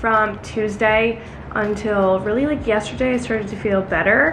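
Light background noise is audible. A woman speaks at a moderate pace. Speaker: vlogger. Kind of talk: casual vlog chat. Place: kitchen. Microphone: phone near.

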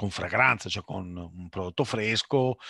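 Over a quiet background, a man speaks with a Veneto accent. His tone is bright and sharp, his intonation lively. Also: dry sound with no echo. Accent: Veneto Italian. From Sicily (Messina), raised in Veneto. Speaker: food importer and businessman; webinar panelist. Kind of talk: webinar Q&A.

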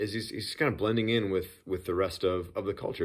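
A man at a moderate pace in a quiet background. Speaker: church pastor. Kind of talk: casual sermon preview talk. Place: home room.

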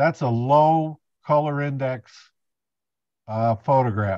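The recording is dry with no echo, over a quiet background. A man speaks with ordinary pitch variation. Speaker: presenter. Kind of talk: lecture. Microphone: video call.

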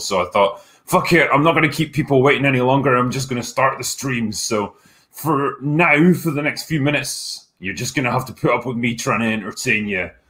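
Fairly quick speech from a man with a Scottish accent, quiet background. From Scotland. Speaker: film critic, streamer. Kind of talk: casual live stream talk to chat. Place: home room. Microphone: webcam.

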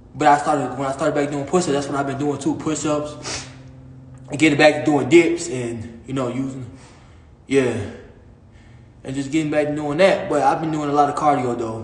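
A man at a moderate pace, fairly even intonation, with audible room echo. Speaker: fitness livestreamer. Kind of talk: casual livestream chat. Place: gym. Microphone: phone near.

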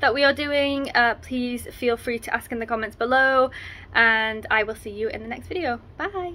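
The tone is bright and sharp. The pace is moderate. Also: woman, high pitch for a woman, ordinary pitch variation. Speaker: marine biologist vlogger. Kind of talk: casual vlog chat. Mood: relaxed, content. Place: home room. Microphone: phone near.

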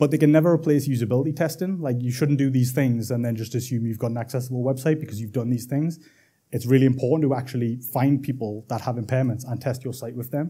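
A man with a dark, mellow tone and a somewhat breathy medium-pitched voice speaks at a very fast pace with fairly even intonation, on a very clean recording with a silent background. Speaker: interaction designer. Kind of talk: conference talk. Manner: casual, many filler words.

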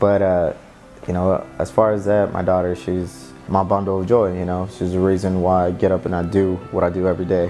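A man speaks with a very deep, low pitch at a fairly quick pace. Faint music plays in the background. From San Jose, California. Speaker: barber. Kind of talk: interview answer. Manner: casual, reflective. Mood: reflective, warm. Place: shop.

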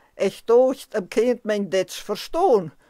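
Speaking in a Transylvanian accent, a woman goes at a very slow pace. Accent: Transylvanian Saxon dialect. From Transylvania, Romania. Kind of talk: poetry reading.

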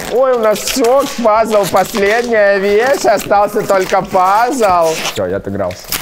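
Speaking very slowly in a high voice, a man uses ordinary pitch variation over noticeable background noise. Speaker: fashion YouTuber. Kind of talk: casual unboxing vlog. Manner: animated. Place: studio. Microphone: lapel.

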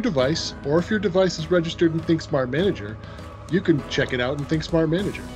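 The speech comes at a very fast pace. Clear music plays in the background. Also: man. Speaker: presenter. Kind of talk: tutorial.

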